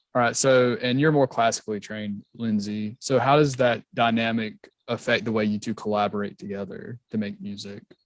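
A man with a Southern US accent, medium pitch, ordinary pitch variation and a fairly quick pace, against a quiet background. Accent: Southern American. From South Georgia, US. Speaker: music podcast host. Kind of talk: casual interview.

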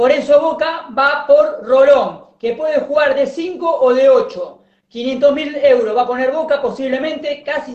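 At a fairly slow pace, a man talks with an extremely high pitch. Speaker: football commentator. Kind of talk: casual chat; sports news report.

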